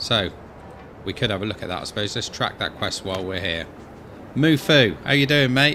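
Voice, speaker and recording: In a West Country accent, a bright, sharp voice moves at a fairly quick pace with lively intonation and long, frequent pauses. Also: man, fairly low pitch for a man. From Wiltshire, England. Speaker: gaming streamer. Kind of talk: casual gameplay commentary. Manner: casual and chatty.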